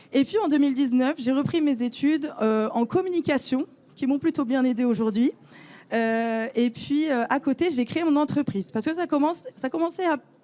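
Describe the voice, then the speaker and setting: At a moderate pace, a woman talks in a high pitch with a dark, mellow tone, ordinary pitch variation and very even loudness. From northern France, Lille. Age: 20s. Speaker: photographer. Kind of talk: conference talk. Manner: hesitant, many fillers.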